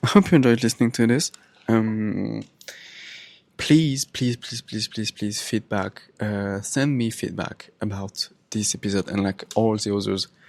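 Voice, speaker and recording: In a French accent, a man talks at a fairly slow pace. The recording is very clean with a silent background. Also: ordinary pitch variation, dry, close sound with no echo. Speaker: podcaster. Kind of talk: casual monologue. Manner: halting.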